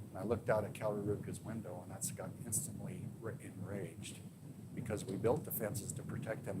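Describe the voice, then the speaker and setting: Audible room echo surrounds a man whose fairly low voice sounds somewhat breathy. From Wyoming. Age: 60s. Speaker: sheriff. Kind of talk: public talk Q&A. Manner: halting.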